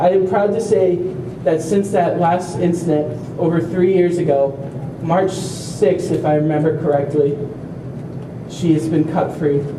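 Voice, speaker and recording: Over noticeable background noise and audible room echo, a man with a high pitch speaks at a fairly slow pace, with long, frequent pauses and very even loudness. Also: fairly even intonation. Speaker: family member of a self-injurer, speaker at awareness walk. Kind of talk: prepared speech.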